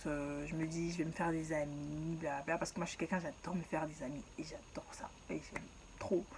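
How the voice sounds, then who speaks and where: Against noticeable background noise, a woman with a fairly low pitch speaks at a moderate pace in an animated tone, her loudness swinging widely. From Ivory Coast. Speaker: YouTuber. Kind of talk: storytelling. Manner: casual, animated.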